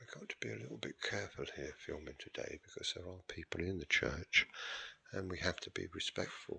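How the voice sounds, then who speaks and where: A quiet man at a fairly quick pace, with big swings in loudness and a dry, close sound with no echo. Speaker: church history vlogger. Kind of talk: video tour narration. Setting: inside a church with people present. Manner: speaking quietly.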